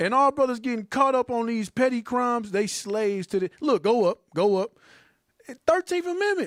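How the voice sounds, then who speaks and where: Speaking with an American accent, a man uses an extremely high pitch, an animated tone and lively intonation at a moderate pace, in a dry, close sound with no echo. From St. Louis, US Midwest. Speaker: Bible teacher. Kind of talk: casual group discussion.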